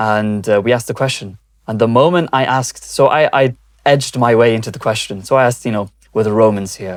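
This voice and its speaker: Speech in a British accent comes at a very fast pace with ordinary pitch variation. The recording is very clean, with a silent background. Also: man, medium pitch for a man. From Britain. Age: young. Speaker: video journalist. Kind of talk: interview. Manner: hesitant, many fillers.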